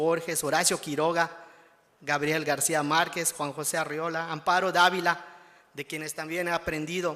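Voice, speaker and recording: Speaking with a Yucatán accent is a man. His pitch is high. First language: Yucatec Maya (speaking Spanish). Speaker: award-winning writer. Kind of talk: acceptance speech. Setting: ceremony with audience. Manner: formal.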